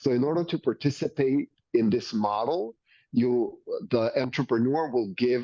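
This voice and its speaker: A man with a medium pitch talks at a moderate pace, his pitch varying in an ordinary way. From Mexico. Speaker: company co-founder and marketing executive. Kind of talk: business interview. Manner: enthusiastic.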